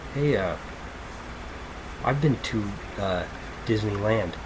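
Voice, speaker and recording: Amid noticeable background noise and audible room echo, a man talks at a fairly low pitch. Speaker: podcast host, music reviewer. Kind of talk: casual album review monologue. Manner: animated; loud.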